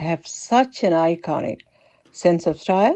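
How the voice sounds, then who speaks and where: In a dark, mellow tone with lively intonation, the speech moves at a very slow pace in a dry, close sound with no echo. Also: woman. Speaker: host's mother. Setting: voice note recording. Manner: matter-of-fact.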